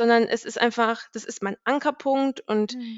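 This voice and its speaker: At a moderate pace, a woman speaks at a fairly high pitch with fairly even intonation in a plain, everyday voice. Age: 20s. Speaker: IT consultant, podcast guest. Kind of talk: casual chat.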